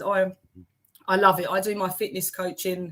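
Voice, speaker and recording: Fairly quick speech from a woman in a Cockney accent. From South London, England. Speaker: accountant and life coach. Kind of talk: interview.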